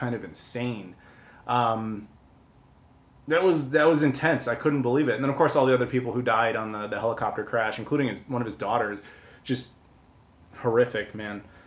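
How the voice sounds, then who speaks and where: A man with an American accent and a plain, everyday voice talks at a moderate pace, medium in pitch with ordinary pitch variation. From US Midwest, Chicago. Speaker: video game collector host. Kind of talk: casual vlog monologue. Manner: casual, filler-heavy. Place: home room.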